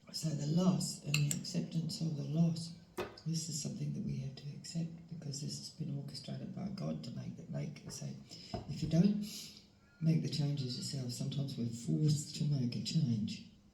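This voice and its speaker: With a very deep, low pitch, a woman talks at a moderate pace with ordinary pitch variation and big swings in loudness, amid audible room echo and noticeable background noise. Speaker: tarot reader. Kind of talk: tarot reading. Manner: halting, many fillers; soft-spoken. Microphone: volume problems.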